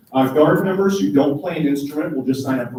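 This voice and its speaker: Here a man talks at a fairly quick pace and medium pitch. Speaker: high school band director. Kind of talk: informational meeting presentation. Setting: meeting room with parents, live streamed. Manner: fast.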